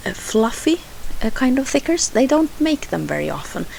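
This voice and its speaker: A woman speaks in a Swedish accent. Noticeable background noise runs underneath. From Sweden. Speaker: scrapbooking crafter. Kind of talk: tutorial voiceover. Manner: halting, many fillers.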